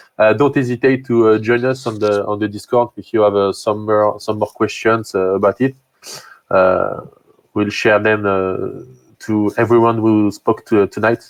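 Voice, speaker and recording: Monotone, flat intonation at a moderate pace, in a French accent. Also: man, fairly low pitch for a man. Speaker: meetup host. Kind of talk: live stream Q&A and closing. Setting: online live stream. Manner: halting, many fillers.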